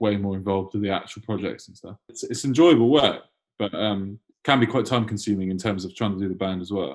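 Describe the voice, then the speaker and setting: In a London accent, a man speaks at a very fast pace with a fairly low pitch, ordinary pitch variation and big swings in loudness. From London (Enfield), England. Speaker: punk band guitarist. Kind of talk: casual interview chat. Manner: halting, lots of fillers and restarts.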